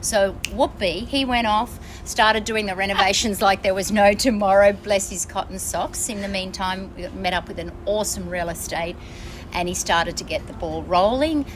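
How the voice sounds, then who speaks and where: Someone speaks in an Australian accent with noticeable background noise. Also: woman, medium pitch for a woman, ordinary pitch variation, moderate pace. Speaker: traveller. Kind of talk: casual chat. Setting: on board a ship.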